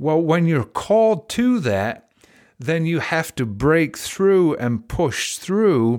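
A man with an English accent at a fairly slow pace, his intonation lively, in a very clean recording with a silent background. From England. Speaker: podcast host and life coach. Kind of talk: motivational talk.

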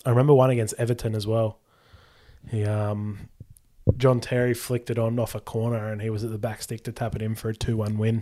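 Speaking at a fairly quick pace, a man with an Australian accent has a dark, mellow tone and monotone, flat intonation in a very clean recording with a silent background. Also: medium pitch for a man. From Australia, Sydney. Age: 20s. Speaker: sports podcast co-host. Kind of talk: casual chat.

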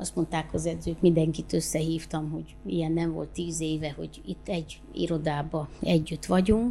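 A woman talks with hardly any pauses while music plays in the background. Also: moderate pace. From Romania, Oradea (Hungarian minority). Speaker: sports club president and local councillor. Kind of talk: interview.

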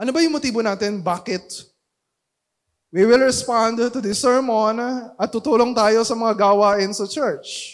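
The speech comes at a fairly slow pace on a very clean recording with a silent background. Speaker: pastor. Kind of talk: sermon. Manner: loud; halting.

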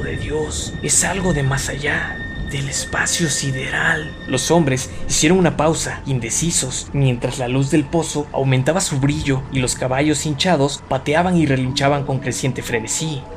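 With music playing behind him, the man's fairly high voice shows ordinary pitch variation. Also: hardly any pauses. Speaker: audiobook narrator. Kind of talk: dramatic horror narration, reading a story aloud. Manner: gravely atmospheric, building dread.

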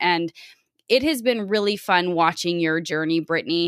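An ordinary speaking voice from a woman, medium in pitch, with lively intonation at a moderate pace. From Canada. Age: 20s. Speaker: podcast host. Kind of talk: interview.

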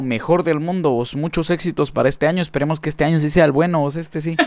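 This man's voice is animated and pitched fairly high. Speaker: podcast host and musician. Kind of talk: casual interview.

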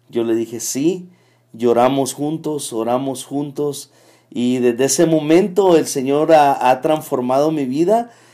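A man with a fairly high pitch and a dark, mellow tone speaks at a fairly slow pace. His pitch varies in an ordinary way, on a very clean recording with a silent background. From El Salvador, Metapán. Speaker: church elder. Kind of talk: testimony. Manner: halting.

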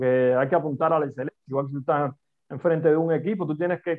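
In a Cuban accent, a man talks at a fairly quick pace and a fairly high pitch with fairly even intonation. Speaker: business coach and consultant. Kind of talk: interview conversation.

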